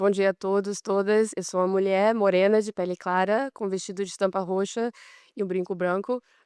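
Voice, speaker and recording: A woman's medium-pitched voice at a moderate pace, monotone and flat, with a dry, close sound and no echo. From Brazilian, raised abroad. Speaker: competition lawyer, panelist. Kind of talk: conference panel talk. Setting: conference stage with audience.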